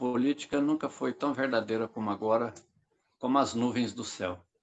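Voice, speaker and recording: This man's voice sits at a medium pitch. His tone is bright and sharp. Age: 60s. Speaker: politician. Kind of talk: political interview.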